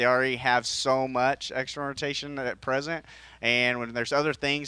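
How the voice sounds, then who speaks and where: With a bright, sharp tone, a man talks at a fairly quick pace over a quiet background. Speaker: physical therapist. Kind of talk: radio interview explaining.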